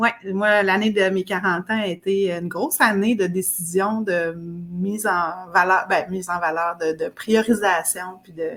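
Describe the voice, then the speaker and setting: Speaking with a Quebec accent and hardly any pauses, a woman of medium pitch uses fairly even intonation while her loudness swings widely. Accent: Québécois French. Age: 40s. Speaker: fitness program client. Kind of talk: interview testimony.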